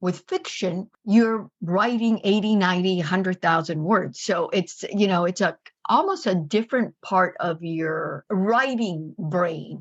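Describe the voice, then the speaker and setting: A woman speaks at medium pitch with a Spanish accent. Her pace is fairly slow, with hardly any pauses. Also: ordinary pitch variation. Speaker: journalist and novelist. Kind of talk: interview.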